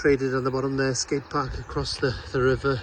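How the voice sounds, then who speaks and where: A man with a South Welsh accent, medium pitch and moderate pace. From Wales, Pembrokeshire (Haverfordwest). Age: 60s. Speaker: local vlogger. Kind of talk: casual walking vlog narration. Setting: outdoors, walking around town.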